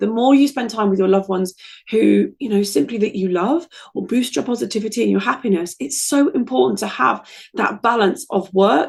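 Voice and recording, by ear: In a put-on character voice, a woman talks at a fairly quick pace, raspy and hoarse, at a medium pitch with very wide pitch swings.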